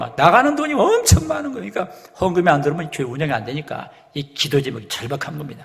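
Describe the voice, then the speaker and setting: A man speaks at a fairly quick pace with lively intonation. Noticeable background noise sits behind him. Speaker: pastor giving a lecture to pastors. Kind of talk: lecture. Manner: fast.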